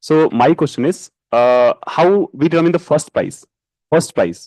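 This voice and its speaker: Pitch varies in an ordinary way as the words come at a moderate pace. The audio is dry and close, free of echo. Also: man. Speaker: student asking a question. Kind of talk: audience question. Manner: hesitant.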